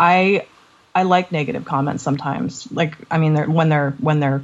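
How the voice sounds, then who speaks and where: A woman speaks at a moderate pace in a very deep, low voice, with ordinary pitch variation. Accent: Canadian. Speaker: podcast co-host. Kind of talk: casual interview chat.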